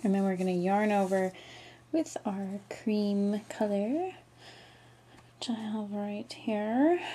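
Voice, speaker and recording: The voice is quiet and mumbling at a very slow pace. Long, frequent pauses break up the speech. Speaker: crochet tutorial maker. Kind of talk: casual tutorial talk. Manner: quiet, mumbling.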